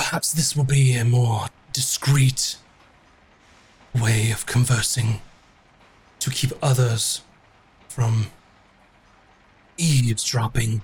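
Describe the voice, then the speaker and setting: A man puts on a character voice at medium pitch. He goes at a very slow pace with long, frequent pauses. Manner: telepathic, discreet.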